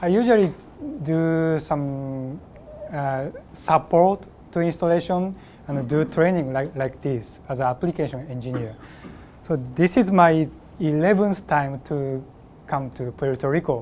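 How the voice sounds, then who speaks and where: Noticeable background noise sits behind a man with a fairly high voice and ordinary pitch variation. He speaks at a very slow pace with long, frequent pauses. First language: Japanese (speaking Spanish). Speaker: application engineer, trainer. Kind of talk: technical training presentation. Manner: halting, hesitant.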